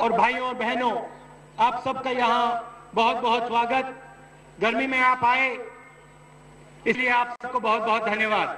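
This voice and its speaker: In a raised, projected voice, a man speaks very slowly with monotone, flat intonation and long, frequent pauses. His loudness stays very even, and there is audible room echo. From India. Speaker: politician, political party leader. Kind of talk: election rally speech to a large crowd. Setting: outdoors, open-air rally with crowd. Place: stage. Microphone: podium.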